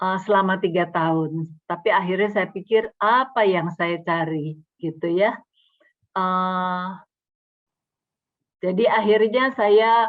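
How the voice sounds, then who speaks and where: This woman, medium in pitch, talks at a very slow pace and leaves long, frequent pauses. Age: 60s. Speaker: speaker at church fellowship, former banker. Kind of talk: talk at church fellowship. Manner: halting.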